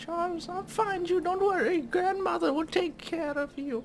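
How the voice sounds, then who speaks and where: Using a put-on character voice, a woman talks at an extremely high pitch with ordinary pitch variation over clear background noise. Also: moderate pace. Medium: actual play. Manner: wavering, calling out.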